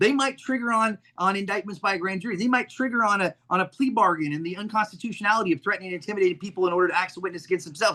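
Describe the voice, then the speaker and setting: A man speaks at a very fast pace in a high-pitched voice with a bright, sharp tone. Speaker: civil rights advocate. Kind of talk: casual chat. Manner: animated.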